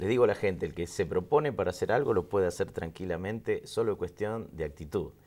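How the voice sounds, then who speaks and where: A man with a fairly low voice races along at a very fast pace, hardly pausing, his intonation lively. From Argentina. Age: 50s. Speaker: interview guest. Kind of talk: casual chat. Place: studio.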